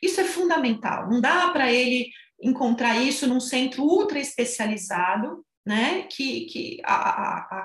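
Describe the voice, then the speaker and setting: A high-pitched woman with lively intonation at a fairly slow pace. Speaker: physiotherapist and gerontology researcher. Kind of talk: expert interview.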